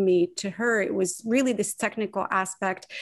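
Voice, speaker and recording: In a quiet setting, a woman talks at a moderate pace with a medium pitch and ordinary pitch variation. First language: not English. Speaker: novelist and essayist. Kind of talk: panel discussion.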